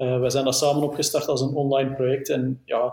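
A man with a medium-pitched, dark, mellow tone talks very fast in a Flemish accent. His delivery is monotone and flat, and somewhat breathy. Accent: Flemish Dutch. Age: 30s. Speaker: motorcycle journalist. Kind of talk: casual interview.

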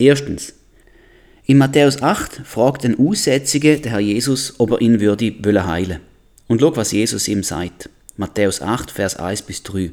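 Using a normal speaking voice, a man with a medium pitch talks at a fairly slow pace with lively intonation. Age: 40s. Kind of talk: Bible teaching podcast.

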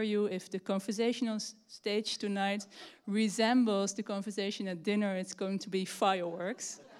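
Using a normal speaking voice, a woman at medium pitch talks at a moderate pace with fairly even intonation. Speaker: event organizer. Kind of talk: announcement. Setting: library hall.

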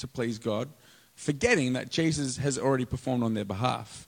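An Australian accent comes through in this man's speech. He keeps a moderate tempo. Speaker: pastor. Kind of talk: sermon. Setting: church with live audience.

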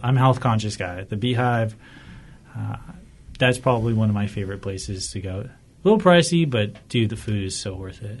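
Somewhat breathy, a man with an American accent talks at a fairly quick pace with a medium pitch and ordinary pitch variation. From Whittier, Southern California. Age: 20s. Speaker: tea business owner, navy veteran. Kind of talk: casual interview.

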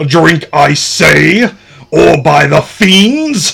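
Shouting in a put-on character voice, a man sounds raspy. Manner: shouted, commanding.

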